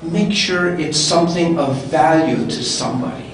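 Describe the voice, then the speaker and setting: Amid light background noise and audible room echo, a man with a high pitch talks at a moderate pace. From Canadian Prairies. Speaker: public speaking club member. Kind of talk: panel discussion. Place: hall.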